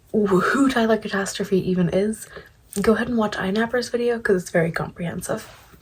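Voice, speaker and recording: A soft-spoken woman whispering over noticeable background noise. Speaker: commentary youtuber. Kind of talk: casual commentary chat. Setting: home at night. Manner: whispering, soft-spoken. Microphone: quiet audio, ASMR-like quality.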